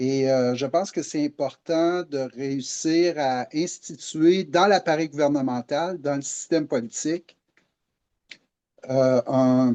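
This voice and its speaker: A man's fairly high, dark, mellow voice at a very slow pace, with ordinary pitch variation and a dry, close sound with no echo. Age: 60s. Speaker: political activist. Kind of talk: interview podcast. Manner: hesitant, many fillers.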